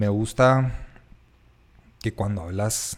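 A man speaks with ordinary pitch variation. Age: 30s. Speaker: podcast host, architect. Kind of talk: casual chat.

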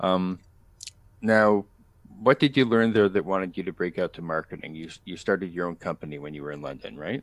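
Speaking at a fairly quick pace with ordinary pitch variation, a man with a Canadian accent has a very deep, low pitch in a dry, close sound with no echo. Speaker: podcast host. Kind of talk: casual chat.

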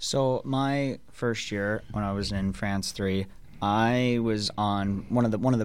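In a Minnesota accent, a man speaks with a fairly low pitch and fairly even intonation. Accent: Upper Midwest, Minnesota. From Minnesota, International Falls. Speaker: pro hockey player. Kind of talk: casual radio interview. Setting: radio studio.

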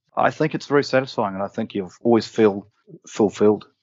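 Talking with an Australian accent, a man keeps a fairly low pitch, a fairly quick pace and fairly even intonation. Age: 50s. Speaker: property developer. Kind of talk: interview.

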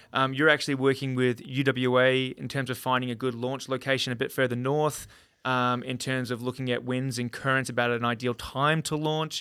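Talking at a fairly quick pace with hardly any pauses, a man with an Australian accent keeps a medium pitch and a monotone, flat intonation. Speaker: podcast host. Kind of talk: podcast interview.

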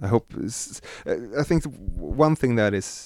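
A man speaks with a Swedish accent. The sound is dry and close, with no echo. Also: very clean recording, silent background. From Sweden. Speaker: synth module designer. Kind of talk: casual interview. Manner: halting.

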